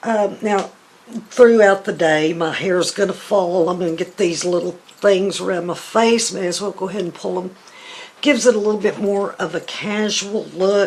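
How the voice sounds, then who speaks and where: With a Southern US accent, a woman talks at a moderate pace and medium pitch, her intonation fairly even against noticeable background noise. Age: 60s. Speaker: beauty vlogger. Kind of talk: tutorial. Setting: home. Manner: casual.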